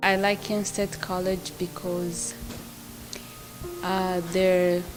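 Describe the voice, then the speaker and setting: With music in the background and audible room echo, a woman speaks at a medium pitch and a very slow pace in a monotone, flat way. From Rwanda. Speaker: college student and refugee. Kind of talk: interview testimony.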